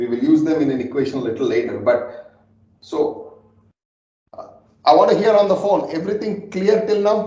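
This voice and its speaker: A man at a moderate pace, with audible room echo. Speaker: data scientist teaching a class. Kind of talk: lecture. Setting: classroom with remote listeners on phone.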